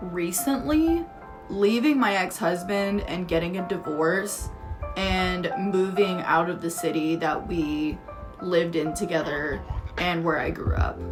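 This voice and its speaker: With music in the background, a woman with an American accent speaks at a fairly slow pace and a fairly low pitch, with ordinary pitch variation. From Dallas, Texas. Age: 20s. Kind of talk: casual talk to camera.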